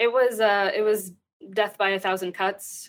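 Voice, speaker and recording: A woman's ordinary speaking voice with an American accent, fairly even intonation and a moderate pace, in a very clean recording with a silent background. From Texas. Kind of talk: interview.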